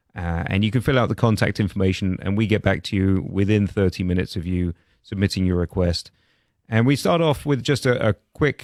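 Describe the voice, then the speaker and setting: A man with a British accent and fairly low pitch speaks at a fairly quick pace with ordinary pitch variation, the sound dry and close with no echo. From London, England. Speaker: roofing contractor. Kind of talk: radio interview. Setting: studio.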